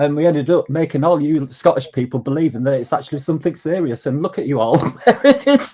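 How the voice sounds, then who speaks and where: A man with a Yorkshire accent talks very fast at a fairly high pitch with ordinary pitch variation. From Yorkshire, northern England. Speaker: online group chat participant. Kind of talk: casual chat.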